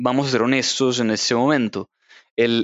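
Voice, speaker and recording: The speaker is a man. He talks at a moderate pace. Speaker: literature teacher and novelist. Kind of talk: casual interview. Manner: halting, frequent word repetition.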